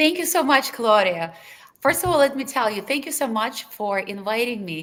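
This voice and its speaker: A woman with a high pitch speaks in a Russian accent, her pitch moving in very wide swings. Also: moderate pace. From Lithuania, Russian-speaking; US from age 15. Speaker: anesthesiology professor. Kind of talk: webinar panel discussion.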